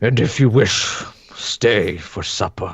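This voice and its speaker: Using a raspy, put-on character voice, a man speaks at a fairly slow pace in a medium pitch. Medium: actual play. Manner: blunt, commanding.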